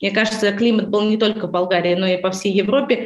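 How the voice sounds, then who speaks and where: A woman with a fairly high pitch and ordinary pitch variation talks amid audible room echo. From Baltic states. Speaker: real estate company head. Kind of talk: interview.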